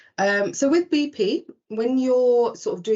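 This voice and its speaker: A woman speaks with a British accent. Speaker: recruitment presenter. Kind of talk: webinar presentation. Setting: online webinar.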